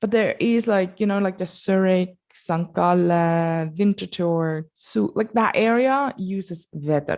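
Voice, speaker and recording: A woman with a Basel accent, medium in pitch, at a very slow pace with ordinary pitch variation. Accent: Swiss German (Basel) accent in English. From Switzerland, Basel. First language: Swiss German. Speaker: language teacher. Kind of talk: tutorial. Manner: casual, conversational.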